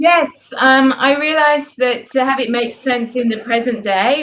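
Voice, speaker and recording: The speaker has an English accent and talks at a moderate pace. Pitch variation is ordinary. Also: woman. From England. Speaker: author. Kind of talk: interview.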